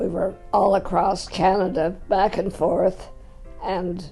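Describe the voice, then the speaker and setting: With music in the background, a woman speaks very slowly with fairly even intonation. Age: 80s+. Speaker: retiree in seniors residence. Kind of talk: interview answer.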